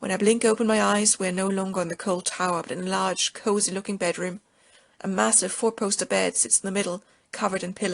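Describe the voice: Fairly even intonation in plain reading aloud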